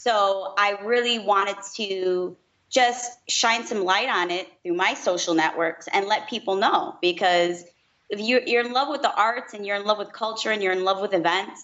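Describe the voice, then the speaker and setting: The speaker has a slight Chicago accent. Pitch varies in an ordinary way. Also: woman, medium pitch for a woman, moderate pace. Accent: slight Midwest (Chicago). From Chicago, US Midwest. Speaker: music blogger. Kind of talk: interview. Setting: podcast.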